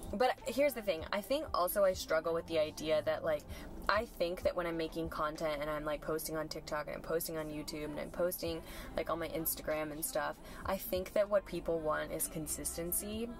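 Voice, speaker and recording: Noticeable background noise sits under a woman's voice. She speaks at a fairly quick pace, with a dry sound and no echo. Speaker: fitness content creator. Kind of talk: casual vlog chat. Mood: reflective, candid. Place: car. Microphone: camera far.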